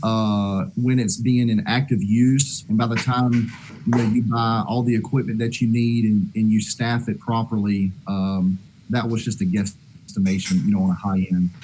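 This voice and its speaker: Speaking with a Southern US accent, a man has a medium pitch and a dark, mellow tone. His loudness stays very even, with ordinary pitch variation. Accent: southern US drawl. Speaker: disaster relief organizer. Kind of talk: video conference discussion. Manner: hesitant, many fillers.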